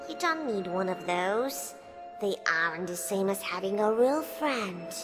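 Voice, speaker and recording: A put-on character voice at middle pitch and moderate pace, with clear music in the background. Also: female-sounding voice. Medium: read story. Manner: coaxing, friendly.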